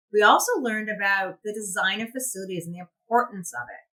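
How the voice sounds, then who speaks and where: A woman speaks loudly at a moderate pace. Her pitch varies in an ordinary way. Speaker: animal shelter worker. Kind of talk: conference presentation.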